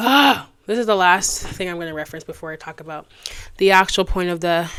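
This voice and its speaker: A woman speaks at a fairly quick pace with a fairly low pitch and ordinary pitch variation. The recording is very clean, with a silent background. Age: 20s. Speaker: podcast host, college student. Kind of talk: casual monologue podcast. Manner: animated, conversational.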